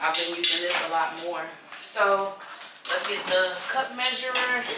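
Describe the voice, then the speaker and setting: A woman with a Southern US accent speaks over loud background noise. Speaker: home gardening and canning vlogger. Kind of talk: casual kitchen tutorial. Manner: casual, chatty. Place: kitchen. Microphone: camera far.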